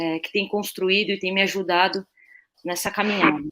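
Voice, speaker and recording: A woman uses a normal speaking voice at medium pitch, keeping her intonation fairly even and her pace moderate. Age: 30s. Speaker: assistant football coach, former player. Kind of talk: live webinar panel discussion.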